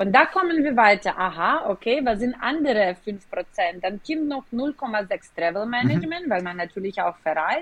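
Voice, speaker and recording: Fairly high-pitched female speech, moderately paced, swinging very widely in pitch. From Ukraine, Kyiv. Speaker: business executive. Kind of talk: interview. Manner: hesitant with fillers.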